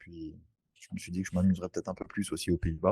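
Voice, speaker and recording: The sound is dry and close with no echo as a man speaks in a very deep, low pitch. His tone is dark and mellow, his intonation monotone and flat. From French Antilles (Saint-Barthélemy). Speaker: real estate investor. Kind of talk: interview. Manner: halting.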